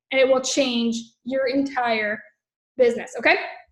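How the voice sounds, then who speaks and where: A woman's voice, high in pitch. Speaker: network marketing trainer. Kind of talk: training livestream. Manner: animated.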